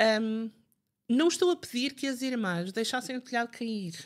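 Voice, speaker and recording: A woman speaks with a northern Portuguese accent. Her pitch is high and her intonation lively. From northern Portugal, Barcelos. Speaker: writer and Fátima history expert. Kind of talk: interview conversation. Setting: podcast recording.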